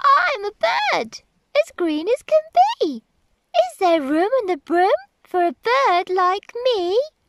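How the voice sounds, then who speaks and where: A woman's put-on character voice, extremely high-pitched and fairly slow, broken by long, frequent pauses. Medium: read story.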